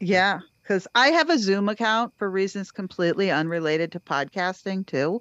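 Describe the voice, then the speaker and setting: A plain, everyday voice from a woman with an American accent, medium in pitch, at a moderate pace and with lively intonation. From Cape Cod, Massachusetts. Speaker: podcast host. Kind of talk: casual chat.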